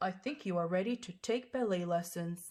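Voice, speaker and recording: A female-sounding put-on character voice speaks at a moderate pace and a middle pitch. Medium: read story.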